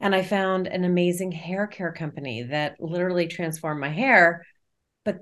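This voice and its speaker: A woman with an American accent speaks at a moderate pace in an unremarkable speaking voice. Her pitch is fairly low with ordinary variation, and the background is quiet. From New Jersey. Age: 50s. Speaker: network marketing leader. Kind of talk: casual interview.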